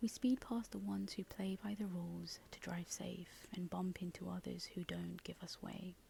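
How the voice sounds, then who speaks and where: Soft-spoken, the voice moves along at a moderate pace. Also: hardly any pauses. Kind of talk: ASMR soft-spoken reflective monologue.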